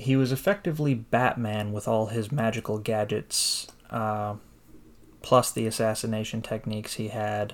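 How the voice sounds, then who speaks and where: On a very clean recording with a silent background, a man has a normal speaking voice, a moderate pace and fairly even intonation. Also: medium pitch for a man. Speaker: podcast host. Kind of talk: casual chat.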